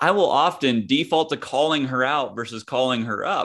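In an unremarkable speaking voice, a man with an American accent talks at a medium pitch with lively intonation over a quiet background. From US Midwest, small-town Kansas. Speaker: former pro golfer turned author and coach. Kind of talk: casual interview.

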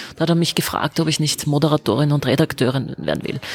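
A woman's very deep, low voice, very fast and monotone, flat in intonation, with a dry, close sound and no echo. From Vienna, Austria. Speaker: politician, member of parliament. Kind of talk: interview answers.

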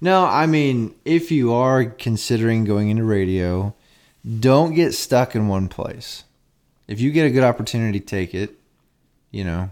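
A man talks in a normal speaking voice at medium pitch and a moderate pace. His intonation is lively, and the recording is very clean with a silent background. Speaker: radio DJ and podcast co-host. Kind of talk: casual chat. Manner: joking, banter.

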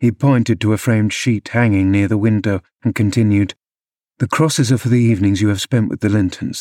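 Against a quiet background, an unforced reading voice moves along with fairly even intonation.

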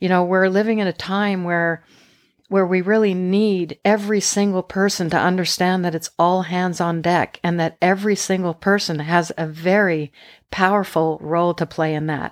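With a Canadian accent, a woman speaks at a medium pitch in a monotone, flat way, the sound dry and close with no echo. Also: moderate pace, very clean recording, silent background. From Canada. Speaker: polar explorer. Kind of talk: interview. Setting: studio.

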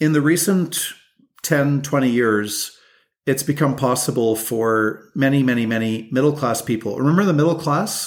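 Speaking at a moderate pace with a Canadian accent, a man keeps a medium pitch, ordinary pitch variation and very even loudness. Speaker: lawyer and legal advocacy group president. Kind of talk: podcast interview. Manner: frequent hesitations with uh.

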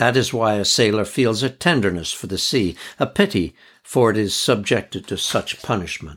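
With an ordinary speaking voice, a man talks at a moderate pace, his pitch fairly low and its variation ordinary. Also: very clean recording, silent background. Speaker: audiobook narrator and editor. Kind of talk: literary audiobook reading of first-person travel memoir, measured and evocative.

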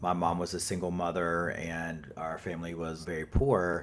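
A man with a very deep, low pitch talks in a Southern US accent. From North Carolina, US South. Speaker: author and activist. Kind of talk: interview answers. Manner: informal, conversational with fillers.

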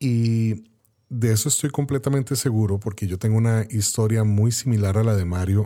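An unremarkable speaking voice from a man, fairly low-pitched, at a moderate pace with fairly even intonation, in a very clean recording with a silent background. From Costa Rica. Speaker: podcast host and photographer. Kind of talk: interview.

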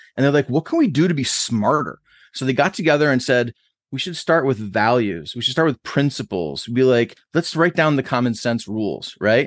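A man with an American accent speaks at a moderate pace and medium pitch, in an unremarkable speaking voice with lively intonation. The sound is dry and close with no echo, against a quiet background. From Buffalo, New York. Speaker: author and agile consultant. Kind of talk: interview.

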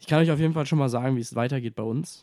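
The recording is very clean, with a silent background. A man speaks with a fairly high pitch, a dark, mellow tone and fairly even intonation. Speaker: NFL podcast host. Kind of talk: casual chat.

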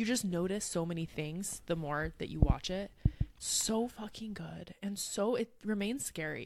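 In an animated tone, a woman talks at a moderate pace with ordinary pitch variation. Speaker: podcast host. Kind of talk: casual chat. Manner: animated, jokey.

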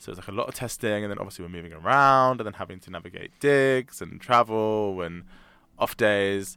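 Over a very clean, silent background, a man with a London accent speaks at a fairly quick pace and fairly low pitch. His tone is bright and sharp, with ordinary pitch variation and big swings in loudness. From South London. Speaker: musical theatre actor. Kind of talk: interview.

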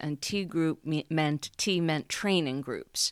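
A woman with an American accent and an unremarkable speaking voice, pitched fairly low. The recording is very clean, with a silent background. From New York City. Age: 60s. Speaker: stay-at-home mom. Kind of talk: casual interview.

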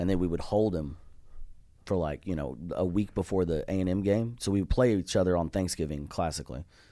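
Very deep, low male voice with an American accent, fairly quick, ordinary pitch variation, in a very clean recording with a silent background. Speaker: comedian. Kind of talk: casual chat. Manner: animated.

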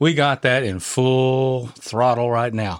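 A man's medium-pitched voice with a clear, smooth tone, ordinary pitch variation and a slow pace, on a very clean recording with a silent background

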